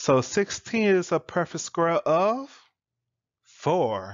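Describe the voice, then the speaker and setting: This is a man's voice. He talks very slowly. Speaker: math teacher. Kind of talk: lecture. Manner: casual, conversational.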